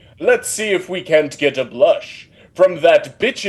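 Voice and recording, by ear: Reading aloud in a natural voice is heard here.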